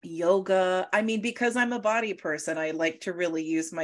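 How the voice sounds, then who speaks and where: In an unremarkable speaking voice, a woman speaks at a moderate pace with a fairly low pitch and lively intonation against a quiet background. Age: 20s. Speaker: psychic medium. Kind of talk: casual chat.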